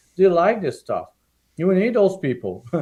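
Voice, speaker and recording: A man speaks at a moderate pace in a passionate tone, with a strong French-Canadian accent. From Quebec, small town. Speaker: political candidate and parent activist. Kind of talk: interview on live stream. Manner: halting, repetitive.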